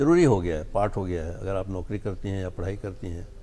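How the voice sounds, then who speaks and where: A man's dark, mellow voice at a moderate pace. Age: 70s. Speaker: environmental expert. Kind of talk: TV interview.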